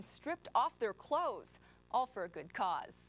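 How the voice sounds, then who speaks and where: With a bright, sharp tone, a woman speaks at a fairly quick pace in a dry, close sound with no echo. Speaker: TV news anchor and reporter. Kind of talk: field reporter live report. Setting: outdoors.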